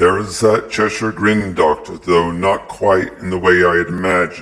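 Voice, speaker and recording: In a put-on character voice, a man speaks with a very deep, low pitch and monotone, flat intonation. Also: moderate pace. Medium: read story. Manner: blunt, straightforward.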